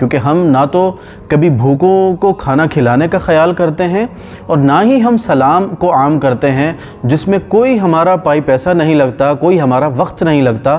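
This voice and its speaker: In an unremarkable speaking voice, a man talks at a fairly high pitch with lively intonation and very even loudness. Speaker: Islamic scholar giving a lecture. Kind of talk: religious sermon / lecture.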